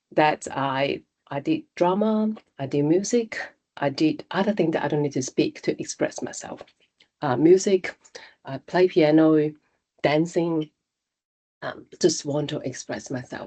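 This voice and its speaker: A woman with a Cantonese accent speaks at a fairly slow pace in a dark, mellow tone with a fairly low pitch, ordinary pitch variation and long, frequent pauses, the sound dry and close with no echo. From Hong Kong. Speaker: technology executive. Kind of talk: interview. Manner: halting.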